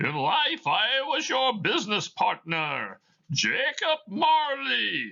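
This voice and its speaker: A man puts on a character voice, speaking at an extremely high pitch and a very slow pace. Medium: read story. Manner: solemn, grave.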